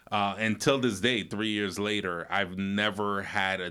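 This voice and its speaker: The recording is very clean, with a silent background. A man with a slight Caribbean accent and a very deep, low pitch talks at a fairly slow pace in a bright, sharp tone. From New York, raised in New Jersey. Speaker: real estate broker and mortgage lender. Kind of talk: podcast interview.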